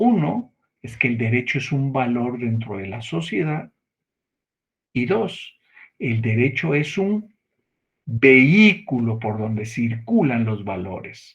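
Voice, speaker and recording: Moving at a very slow pace with long, frequent pauses, a man uses lively intonation in a somewhat breathy, medium-pitched voice. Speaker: law lecturer. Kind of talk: lecture.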